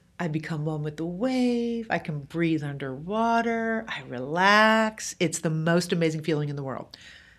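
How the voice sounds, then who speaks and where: In an unremarkable speaking voice, a woman with a fairly low pitch talks at a fairly slow pace with lively intonation. The recording is very clean and the background silent. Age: 50s. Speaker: author. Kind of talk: casual chat.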